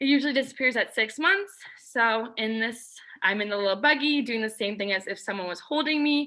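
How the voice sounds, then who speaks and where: A woman talks in an ordinary speaking voice at a fairly quick pace, her fairly high pitch moving with lively intonation. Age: 20s. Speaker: student. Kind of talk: class presentation. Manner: casual, with fillers.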